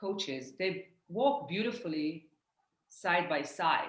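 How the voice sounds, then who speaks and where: At a very slow pace, a woman with an Israeli accent talks at a medium pitch. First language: Hebrew. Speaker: life coach. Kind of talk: casual chat.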